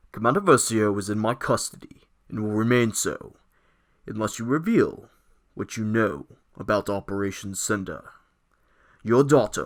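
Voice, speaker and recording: Using a put-on character voice at medium pitch, a man speaks with long, frequent pauses. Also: moderate pace, ordinary pitch variation. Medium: read story. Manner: slow, commanding, menacing.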